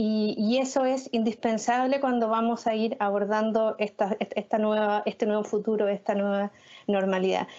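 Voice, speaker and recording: Her voice is fairly high in pitch for a woman, with monotone, flat intonation. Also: moderate pace, very even loudness. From Chile. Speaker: arts federation director. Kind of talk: panel discussion.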